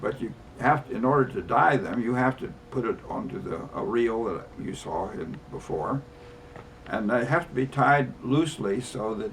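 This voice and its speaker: Against noticeable background noise, a man speaks at a moderate pace and medium pitch with lively intonation. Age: 80s+. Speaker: rug maker. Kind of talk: casual demonstration talk to camera. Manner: halting, hesitant.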